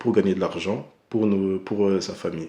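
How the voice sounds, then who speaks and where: A soft-spoken man talks at a fairly quick pace, his fairly low voice dark and mellow in tone. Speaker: anime reviewer. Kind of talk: casual vlog commentary. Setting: at home at night. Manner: hesitant, many fillers.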